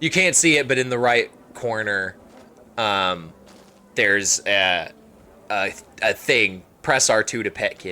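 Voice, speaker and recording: With long, frequent pauses, a man speaks fairly slowly at a fairly low pitch, his tone bright and sharp and his intonation lively. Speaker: video game streamer. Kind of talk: casual live stream commentary. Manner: loud, yelling at times; animated.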